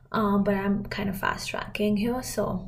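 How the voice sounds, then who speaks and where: Background noise is noticeable, and the room echo is audible. A woman talks at a medium pitch and a moderate pace with monotone, flat intonation. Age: 20s. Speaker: podcast host. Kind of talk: casual monologue.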